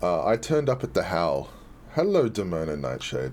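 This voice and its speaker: A man speaks with an Australian accent and vocal fry. His pitch swings very widely at a moderate pace. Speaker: game community streamer. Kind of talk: live stream chat and gameplay showcase.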